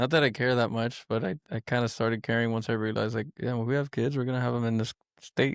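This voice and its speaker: The speech is mumbled and very fast, with an American accent and fairly even intonation. The sound is dry and close with no echo. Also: man, medium pitch for a man. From Miami, Florida. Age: 30s. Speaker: manufacturing controls engineer. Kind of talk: casual chat. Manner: mumbling.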